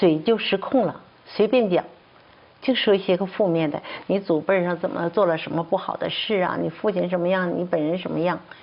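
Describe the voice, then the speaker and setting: A woman with a medium pitch speaks at a moderate pace. There is noticeable background noise behind her. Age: 60s. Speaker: traditional Chinese medicine doctor and professor. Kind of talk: testimony. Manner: halting, many fillers.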